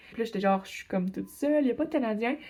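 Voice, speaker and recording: In a Quebec accent, a woman talks at a very fast pace in an animated tone, with a fairly high pitch and ordinary pitch variation. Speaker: exchange student vlogger. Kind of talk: casual vlog storytelling.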